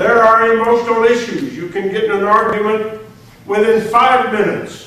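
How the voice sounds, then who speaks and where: Amid noticeable background noise and audible room echo, a high-pitched man speaks at a fairly slow pace. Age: 80s+. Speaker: retired senior enlisted military leader. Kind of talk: lecture.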